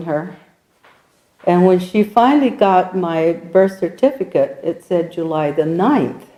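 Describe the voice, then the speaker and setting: Speaking at a fairly slow pace, a woman with an American accent has a dark, mellow tone, medium pitch and lively intonation. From New Mexico, US Southwest. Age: 70s. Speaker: oral history interviewee. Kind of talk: oral history interview. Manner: halting.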